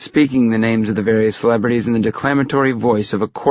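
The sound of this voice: An unforced reading voice, fairly even in intonation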